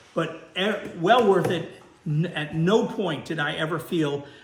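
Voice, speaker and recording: Noticeable background noise and audible room echo surround a man's voice. He speaks fairly slowly at a fairly high pitch. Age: 70s. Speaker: worm farmer and video host. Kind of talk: casual tutorial / product review. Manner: halting, many fillers.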